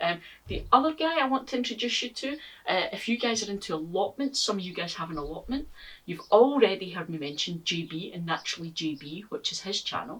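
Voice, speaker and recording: Speaking at a fairly quick pace in a Scottish accent, a woman with a medium pitch makes very wide pitch swings over noticeable background noise. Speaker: gardening YouTuber. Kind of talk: casual vlog talk to camera.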